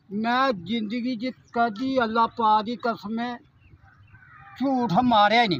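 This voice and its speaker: This man's voice sits extremely high and keeps a fairly even intonation. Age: old. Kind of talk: interview answer. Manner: simple, earnest.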